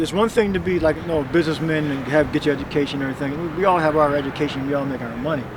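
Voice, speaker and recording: Noticeable background noise sits behind this man. His voice is fairly high for a man, with ordinary pitch variation. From Philadelphia, Logan. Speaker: street preacher. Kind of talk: heated debate.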